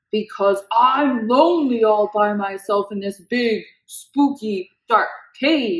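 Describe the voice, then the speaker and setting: A woman puts on a character voice, fairly high in pitch. She talks at a fairly slow pace. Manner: lonely, afraid.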